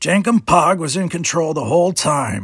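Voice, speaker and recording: A man puts on a character voice, high-pitched and raspy. He talks at a moderate pace. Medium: read story. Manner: speaks of himself in third person.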